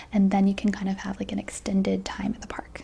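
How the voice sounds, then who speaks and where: A soft-spoken woman. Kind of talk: ASMR roleplay, travel agent.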